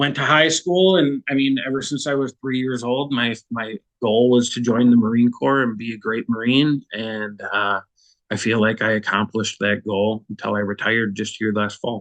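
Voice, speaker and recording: An ordinary speaking voice with an American accent, ordinary pitch variation and a moderate pace. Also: man, medium pitch for a man. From Minnesota, US Midwest. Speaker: war veteran. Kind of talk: testimony. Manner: casual, with fillers.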